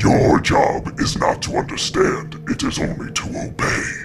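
A man speaks at a fairly slow pace. Background noise is clearly audible. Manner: menacing, commanding.

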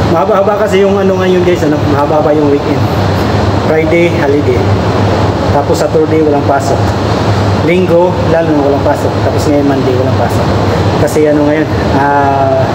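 Talking at a fairly quick pace, a man is heard over loud background noise. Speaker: driver vlogger. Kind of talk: casual vlog chat. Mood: cheerful, relaxed. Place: garage. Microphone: phone near.

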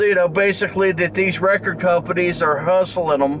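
A man's fairly even intonation over light background noise. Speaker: record collector vlogger. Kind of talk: casual vlog chat. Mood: mildly annoyed, opinionated. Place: car. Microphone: phone near.

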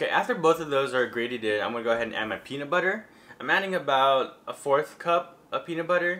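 The man talks at a very fast pace. His tone is bright and sharp. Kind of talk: cooking tutorial. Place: kitchen.

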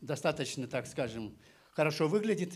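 This man's voice sits at a fairly high pitch. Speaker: pastor. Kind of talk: sermon with interpreter. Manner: halting, phrase by phrase for translation. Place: church. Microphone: handheld.

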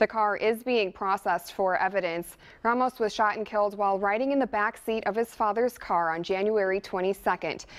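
Over a quiet background, a woman talks at a fairly quick pace with hardly any pauses. Her intonation stays fairly even. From American. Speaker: TV news anchor and reporter. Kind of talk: studio news anchor delivery. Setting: TV studio and on location. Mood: serious, somber news tone. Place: studio.

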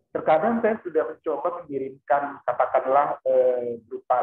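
With audible room echo around him, a man talks using ordinary pitch variation. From North Sumatra. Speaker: high school English teacher. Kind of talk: question in online class. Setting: video call, camera off. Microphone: video call.

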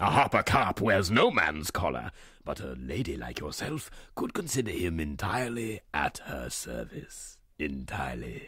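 A raspy man with a very deep, low pitch, very wide pitch swings and a moderate pace. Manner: florid, obsequious, repeats phrases.

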